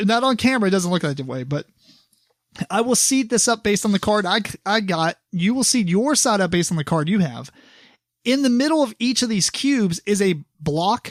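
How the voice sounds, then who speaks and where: This man talks in a Kentucky accent with a high pitch and lively intonation. The sound is dry and close with no echo, on a very clean recording over a silent background. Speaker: board game podcast host. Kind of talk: casual chat. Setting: recording in the same room as co-host.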